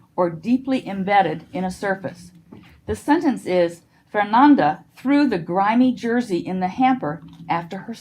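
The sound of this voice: In an unforced reading voice, the intonation stays lively.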